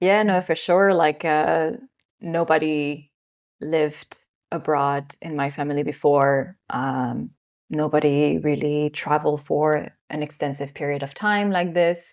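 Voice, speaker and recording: A woman's very deep, low voice with a slight French accent, at a fairly slow pace and with fairly even intonation. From France. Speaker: yoga teacher. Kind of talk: interview.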